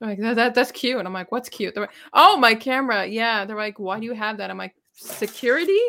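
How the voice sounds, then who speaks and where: In a Montreal accent, a woman talks at a fairly quick pace with hardly any pauses. Her voice is fairly high in pitch, with a bright, sharp tone. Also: ordinary pitch variation. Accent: Canadian English, Montreal Anglophone. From Montreal, Quebec (Anglophone). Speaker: YouTuber and gig delivery worker. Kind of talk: casual chat.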